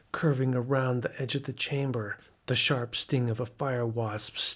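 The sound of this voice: This unforced reading voice keeps its intonation fairly even throughout.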